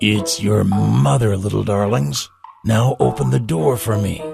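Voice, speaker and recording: A man does a raspy, put-on character voice at a fairly low pitch with very wide pitch swings. He keeps a moderate pace over faint background music. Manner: feigned sweetness.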